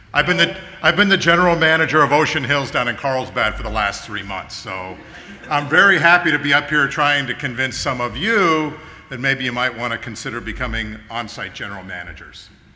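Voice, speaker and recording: Over noticeable background noise, a man talks with lively intonation at a fairly high pitch. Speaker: property manager. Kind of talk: company meeting speech. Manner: loud.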